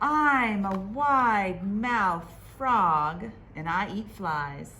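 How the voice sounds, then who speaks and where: A female-sounding, put-on character voice at a middle pitch moves at a very slow pace over clear background noise. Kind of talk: bedtime story. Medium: read story.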